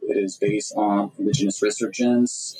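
Noticeable noise sits under speech delivered at a moderate speed. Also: man. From France. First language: French. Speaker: political science researcher and translator. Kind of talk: interview.

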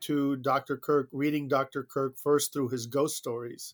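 In an American accent, a man talks with a fairly high pitch and monotone, flat intonation, the sound dry and close with no echo. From South Florida, Cuban exile family. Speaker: diplomat. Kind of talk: interview.

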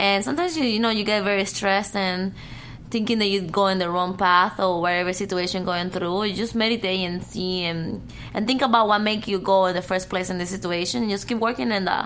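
A woman speaks in a Cuban accent at a fairly quick pace, her medium-pitched voice showing ordinary pitch variation. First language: Spanish. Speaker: adult film actress. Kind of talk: casual chat. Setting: studio.

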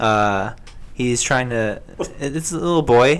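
A man talks at a medium pitch with ordinary pitch variation. He has a plain, everyday voice. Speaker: video game enthusiast. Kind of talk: casual chat.

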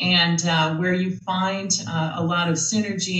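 An ordinary speaking voice with an American accent moves at a fairly slow pace. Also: woman. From US Midwest, Minnesota. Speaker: tech foundation CEO. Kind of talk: interview.

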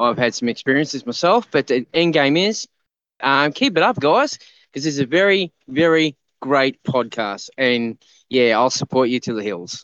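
A man with an Australian accent, fairly high pitch and lively intonation, at a moderate pace, in a dry, close sound with no echo. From Queensland, Australia. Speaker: listener calling in. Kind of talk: casual chat. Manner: halting, many fillers.

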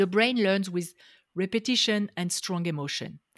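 A woman with a French accent at a fairly slow pace, dry and close with no echo, in a very clean recording with a silent background. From France. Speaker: life coach. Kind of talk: interview.

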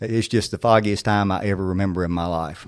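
This man has a North Carolina accent and a fairly even intonation. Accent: Southern US (North Carolina). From North Carolina, Surry County. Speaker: former sheriff, parole commissioner. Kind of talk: interview storytelling.

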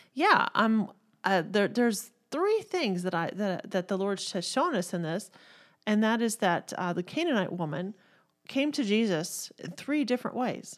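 A woman in a Texan accent, lively in intonation and fairly slow in pace, on a very clean recording with a silent background. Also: fairly high pitch for a woman. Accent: Southern US, Texan. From Texas.

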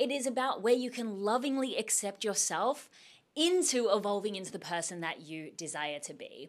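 In an animated tone, a woman speaks at a moderate pace with a fairly high pitch, very wide pitch swings and big swings in loudness, on a very clean recording with a silent background. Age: 30s. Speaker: podcast host. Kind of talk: solo casual monologue.

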